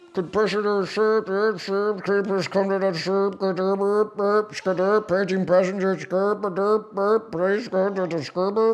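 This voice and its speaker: A put-on character voice at middle pitch, monotone and flat, moderate in pace with hardly any pauses, over light background noise. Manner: mocking, nonsense.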